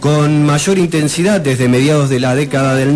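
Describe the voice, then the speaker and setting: A man with an Argentine accent, fairly high in pitch, at a fairly slow pace, over noticeable background noise. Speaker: radio history presenter. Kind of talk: radio history segment.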